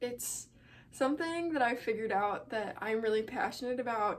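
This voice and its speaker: Moderate pace, ordinary pitch variation, and an American accent. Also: woman. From Chicago area. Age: young. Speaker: college student. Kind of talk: casual talk to camera.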